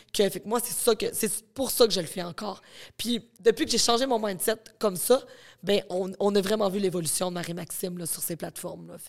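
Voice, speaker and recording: At a moderate pace, a woman speaks at a medium pitch with ordinary pitch variation and big swings in loudness. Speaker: content creator and psychologist. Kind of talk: casual interview chat. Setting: studio.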